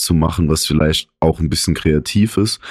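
A man speaks at a very deep, low pitch in a dark, mellow tone. The recording is very clean, with a silent background. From Saarland, village near Saarbrücken. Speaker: podcast co-host. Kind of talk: casual chat. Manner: animated.

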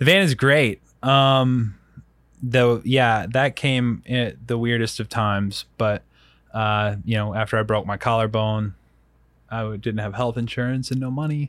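Recorded very cleanly against a silent background, a man with an American accent speaks in an ordinary speaking voice at medium pitch, fairly slowly, with ordinary pitch variation. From US South, Rock Hill, South Carolina. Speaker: bike racer and podcaster. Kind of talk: casual chat.

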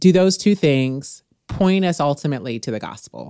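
With an American accent, a woman speaks in a dry, close recording with no echo. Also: very clean recording, silent background. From US Midwest. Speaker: podcast host, Bible teacher. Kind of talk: casual faith conversation.

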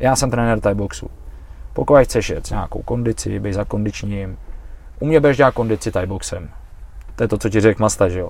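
A man talks at a fairly quick pace with long, frequent pauses. His fairly low voice has vocal fry and ordinary pitch variation. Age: 40s. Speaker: Thai boxing coach and fighter. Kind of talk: casual chat. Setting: improvised studio in a van.

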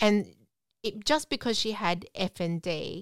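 A woman's voice, dry and close with no echo, shows ordinary pitch variation. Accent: Australian. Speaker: podcast co-host with FND. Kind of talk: casual chat.

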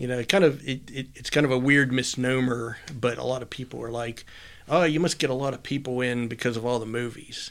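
This man has an unremarkable speaking voice with an American accent and medium pitch. He talks at a fairly quick pace with fairly even intonation. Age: 50s. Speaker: comic shop owner. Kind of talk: casual interview chat.

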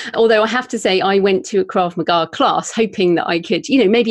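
At a fairly quick pace, a woman with a British accent speaks with ordinary pitch variation, the sound dry and close with no echo. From UK. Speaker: author and podcaster. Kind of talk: interview, with reading aloud from her novel.

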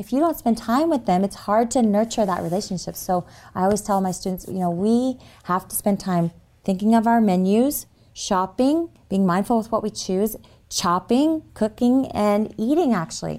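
A woman talks in a normal speaking voice at a medium pitch and moderate pace, with lively intonation. The recording is very clean, with a silent background. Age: 40s. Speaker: health retreat worker and teacher. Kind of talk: interview.

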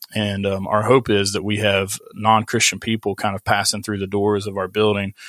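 Flat and monotone, a man speaks in an Appalachian accent at a fairly low pitch. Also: moderate pace. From West Virginia. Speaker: pastor. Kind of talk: casual interview.

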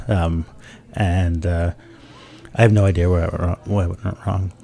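As a man talks, noticeable background noise runs beneath his voice. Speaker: author. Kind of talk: casual chat. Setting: studio. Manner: jokey.

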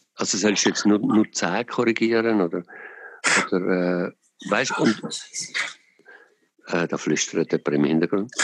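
A man's fairly low voice at a very slow pace, with ordinary pitch variation and a dry, close sound free of echo. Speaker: podcast host. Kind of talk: casual chat. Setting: phone call.

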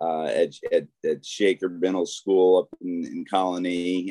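With an American accent, a man talks in a dry, close sound with no echo. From upstate New York, Schenectady. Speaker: motivational speaker and author, former prosecutor. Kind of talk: interview testimony.

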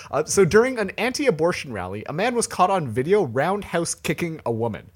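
A man with a Canadian accent and vocal fry swings his pitch very widely in a very clean recording with a silent background. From Toronto, Canada. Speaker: podcast host. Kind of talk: casual chat.

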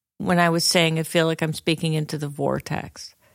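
A woman's plain, everyday voice, fairly low in pitch, at a moderate pace. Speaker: church member, podcast co-host. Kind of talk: casual panel discussion.

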